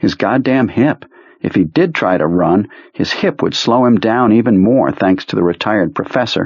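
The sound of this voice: Reading in an unforced voice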